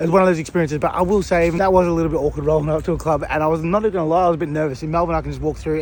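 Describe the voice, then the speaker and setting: A man races through his words at a very fast pace. Noticeable background noise runs underneath. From Australia. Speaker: vlogger. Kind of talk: casual vlog narration. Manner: casual, sweary.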